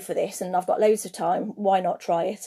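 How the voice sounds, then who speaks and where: This woman has a British accent and a dark, mellow tone, talking at a fairly quick pace with ordinary pitch variation. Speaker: craft maker and online seller. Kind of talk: livestream talk to viewers. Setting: Instagram live stream. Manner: fast.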